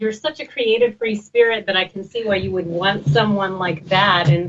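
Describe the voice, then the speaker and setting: A woman with a normal speaking voice, medium in pitch with ordinary variation, in an American accent. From Texas. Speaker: radio talk show host. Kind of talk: casual chat.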